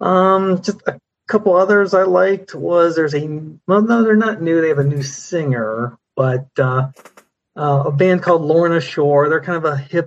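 A man with a normal speaking voice talks at a fairly slow pace, using ordinary pitch variation. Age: 50s. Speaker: metal fan, former music writer. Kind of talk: casual chat.

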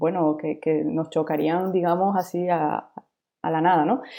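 A woman with a fairly low pitch speaks at a fairly slow pace with fairly even intonation in an unremarkable speaking voice. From Venezuela. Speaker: UX designer. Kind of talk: interview.

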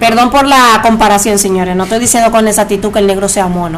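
A woman with a fairly high voice and ordinary pitch variation talks at a fairly quick pace, with audible room echo and noticeable background noise. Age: 30s. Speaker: podcast host. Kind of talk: casual chat.

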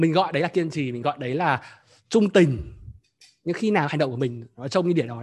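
Against a quiet background, a man with a fairly high pitch talks at a fairly quick pace, somewhat breathy, with lively intonation. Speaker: workshop host. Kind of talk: live group workshop, talk. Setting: online event with participants. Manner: fluent, conversational.

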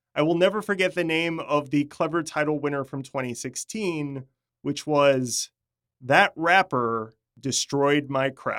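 Recorded very cleanly with a silent background and a dry, close sound with no echo, a man with an unremarkable speaking voice talks at a fairly slow pace and fairly high pitch, with ordinary pitch variation. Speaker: podcast host and interviewer. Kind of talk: scripted narration between interview clips.

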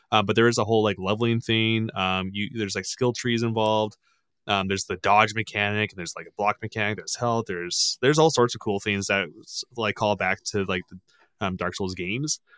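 In a plain, everyday voice, a man speaks at a fairly quick pace with a fairly low pitch and fairly even intonation, the sound dry and close with no echo on a very clean recording with a silent background. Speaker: podcast guest and gamer. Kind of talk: casual chat. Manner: profane, laughing.

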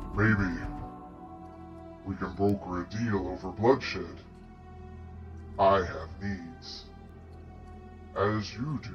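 Over clear music in the background, a man puts on a booming character voice at a fairly low pitch, speaking at a very slow pace. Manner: scheming, bargaining.

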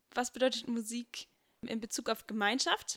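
Dry and close with no echo, a woman's voice comes through at a fairly high pitch with a bright, sharp tone. She speaks at a fairly quick pace in a monotone, flat intonation. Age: 20s. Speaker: church member and singer. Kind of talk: casual chat.

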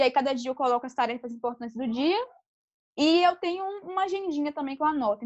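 High in pitch with lively intonation, a woman talks at a very fast pace. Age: 20s. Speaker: entrepreneur. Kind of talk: interview.

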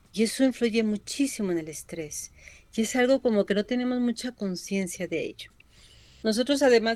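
A woman speaks at a moderate pace in a plain, everyday voice. Her pitch is fairly high, with ordinary variation. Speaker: psychologist. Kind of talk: radio interview.

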